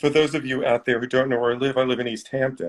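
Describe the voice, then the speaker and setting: The speaker has a plain, everyday voice. The intonation is fairly even. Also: man. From New York City. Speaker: magazine editor. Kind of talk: casual chat. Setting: video call.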